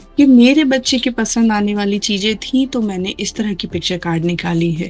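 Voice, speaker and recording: With music in the background, a woman speaks at a medium pitch and with ordinary pitch variation. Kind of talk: tutorial.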